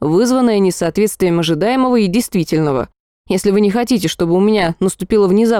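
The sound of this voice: Against a quiet background comes an unforced reading voice. Pitch variation is ordinary.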